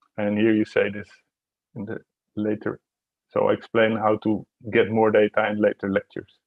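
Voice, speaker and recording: A man with a fairly low pitch speaks at a moderate pace in a monotone, flat intonation, with long, frequent pauses. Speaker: university lecturer. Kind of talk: lecture.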